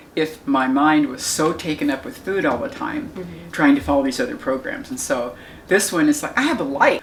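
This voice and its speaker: A woman speaks at a fairly quick pace over noticeable background noise. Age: 70s. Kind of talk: interview answer.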